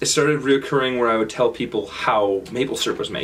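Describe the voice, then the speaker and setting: A man speaks with a strong Canadian accent. His pace is fairly quick. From Canada, Kitchener-Waterloo, Ontario. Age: 20s. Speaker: speaker sharing travel experiences. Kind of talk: talk to audience. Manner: halting, many fillers and repetitions.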